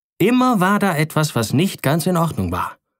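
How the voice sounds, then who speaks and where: A man's voice rises and falls across a very wide range in a very clean recording with a silent background. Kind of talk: bedtime story reading, audiobook fairy tale narration. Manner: calm, gentle, storytelling cadence; warmly expressive, lightly dramatizing the princess's lines.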